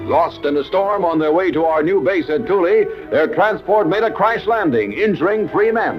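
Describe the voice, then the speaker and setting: Backed by music, a man speaks at a moderate pace in a high pitch with ordinary pitch variation. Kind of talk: newsreel narration.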